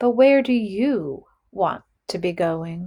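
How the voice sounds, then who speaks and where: Using a put-on character voice with a gentle tone, a woman speaks at a medium pitch and a very slow pace. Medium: read story. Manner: gentle, probing.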